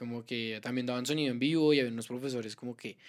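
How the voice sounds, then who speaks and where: Medium pitch from a man, captured on a very clean recording with a silent background. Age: 20s. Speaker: musician and stage manager. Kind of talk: casual chat.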